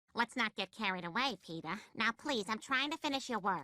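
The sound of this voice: A woman's cartoonish character voice, fairly high-pitched and lively, at a fairly quick pace with a dry, close sound and no echo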